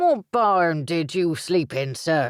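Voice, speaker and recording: A put-on character voice at a middle pitch. The recording is very clean, with a silent background. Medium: read story. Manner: teasing, blunt.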